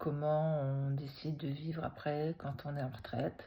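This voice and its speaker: With fairly even intonation, a woman speaks in a very deep, low voice with a dark, mellow tone. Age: 60s. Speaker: retired teacher. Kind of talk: personal testimony vlog. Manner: hesitant, many fillers.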